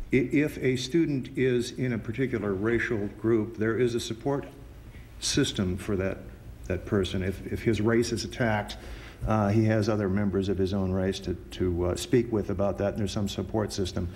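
Here a man speaks in a plain, everyday voice, fairly low in pitch. His pace is moderate, and his pitch varies in an ordinary way. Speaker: attorney. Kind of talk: courtroom oral argument. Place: hall. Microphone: podium.

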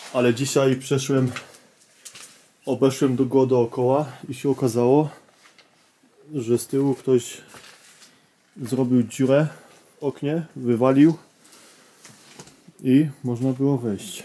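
A man speaking very slowly in a flat monotone, with long, frequent pauses. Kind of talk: casual vlog narration. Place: tunnel cave. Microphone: phone near.

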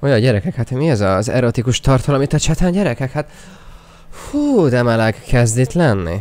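This man's voice sits at a medium pitch. His tone is animated and his intonation lively. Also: fairly quick pace, very even loudness. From Hungary. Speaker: gaming streamer. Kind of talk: live gaming stream commentary. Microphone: new microphone; studio mic.

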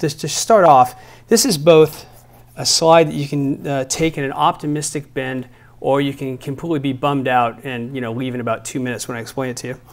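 A man at a fairly quick pace, with big swings in loudness and ordinary pitch variation. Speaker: physician lecturer. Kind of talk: lecture. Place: hall. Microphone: lapel.

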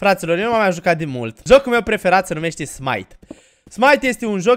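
A man speaks in a high, animated voice at a moderate pace. His pitch swings very widely. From Romania. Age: 20s. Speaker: gaming YouTuber; gaming streamer. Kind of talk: Let's Play commentary; casual gameplay commentary.

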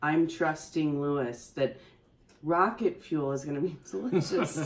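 With ordinary pitch variation, a woman speaks at a moderate pace. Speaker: co-host. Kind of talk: casual vlog chat. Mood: cheerful, playful. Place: home room. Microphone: camera far.

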